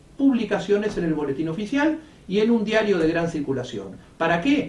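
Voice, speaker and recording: High-pitched male voice with very wide pitch swings and audible room echo. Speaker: notary. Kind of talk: explanatory talk to camera. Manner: fast.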